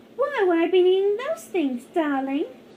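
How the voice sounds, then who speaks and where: A put-on, squeaky character voice, female-sounding and extremely high in pitch, at a moderate pace. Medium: machinima. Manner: genteel, affected.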